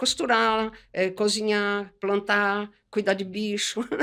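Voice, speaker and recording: A woman speaks with a fairly high pitch. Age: 60s. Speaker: textile artist. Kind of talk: podcast interview.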